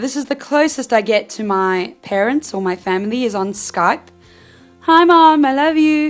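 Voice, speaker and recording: Music plays in the background as a woman speaks. Her pitch is high and swings very widely. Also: moderate pace. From South Africa. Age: 20s. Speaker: actress. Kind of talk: casual talk to camera.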